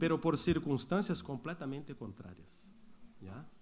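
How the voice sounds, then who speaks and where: A man with a fairly high pitch talks with audible room echo around him. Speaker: pastor. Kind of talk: sermon.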